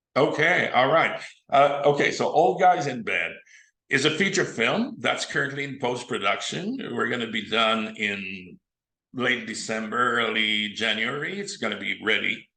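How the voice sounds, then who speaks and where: A man with a Quebec accent speaks at a moderate pace and medium pitch, using lively intonation. His tone is bright and sharp, with audible room echo around him. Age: 70s. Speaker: film director and actor. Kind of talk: interview.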